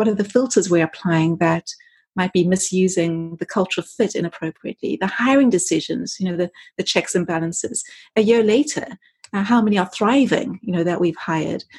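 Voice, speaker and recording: A woman speaks at medium pitch, somewhat breathy. She moves at a fairly quick pace with ordinary pitch variation. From South Africa. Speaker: culture consultant guest. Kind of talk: conversational interview.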